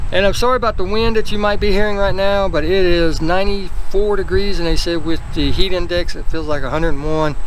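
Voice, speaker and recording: Over noticeable background noise and audible room echo, a man speaks at a very fast pace with ordinary pitch variation. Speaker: car enthusiast vlogger. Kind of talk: casual vlog talk. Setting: outdoors.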